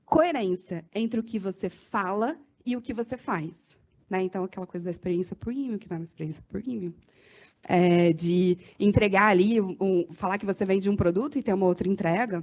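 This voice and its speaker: Her tone animated, a woman speaks at medium pitch with ordinary pitch variation. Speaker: marketing consultant. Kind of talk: workshop talk. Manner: fast.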